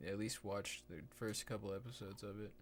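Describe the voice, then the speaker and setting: At a very fast pace, a man speaks in a fairly low pitch with an American accent. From Texas. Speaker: live streamer. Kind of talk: casual live stream chat. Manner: casual, laid-back; quiet, keeping voice down.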